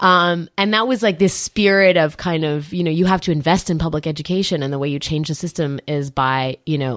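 A woman with an American accent speaks in a very deep, low pitch with lively intonation at a fairly quick pace. The sound is dry and close, with no echo. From Washington D.C. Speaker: journalist and political commentator. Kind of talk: interview.

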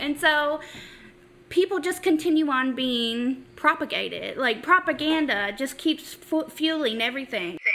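Her voice is raised and projected, with a bright, sharp tone. The woman speaks at a fairly slow pace. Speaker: podcast co-host. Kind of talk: casual chat.

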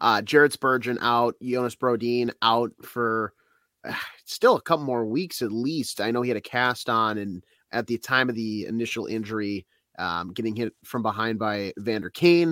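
A man with a bright, sharp tone talks at a moderate pace in a medium pitch with ordinary pitch variation. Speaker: sports podcast co-host, radio producer. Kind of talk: casual sports chat. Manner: animated.

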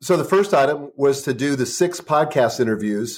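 A man with an ordinary speaking voice talks at medium pitch with lively intonation. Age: 60s. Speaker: author and former publishing executive. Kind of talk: interview conversation.

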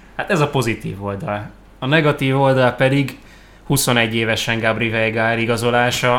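With fairly even intonation and an ordinary speaking voice, this man keeps to a moderate pace. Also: medium pitch for a man. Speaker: football podcast host. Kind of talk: casual chat.

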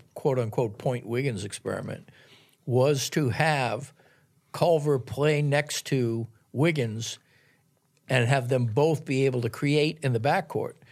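A man with an ordinary speaking voice and an American accent talks at a fairly slow pace and medium pitch. The recording is very clean, with a silent background. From US Northeast, Boston. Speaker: basketball journalist. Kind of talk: casual chat. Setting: studio.

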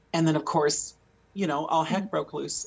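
Her pitch sits fairly low. The woman's voice comes across somewhat breathy. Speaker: jazz singer-songwriter. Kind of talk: casual interview chat. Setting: video call.

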